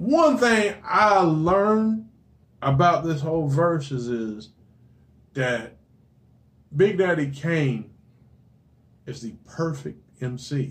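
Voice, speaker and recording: The man's voice is fairly high in pitch. He talks at a very slow pace with long, frequent pauses. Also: lively intonation. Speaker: podcast co-host. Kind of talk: casual chat.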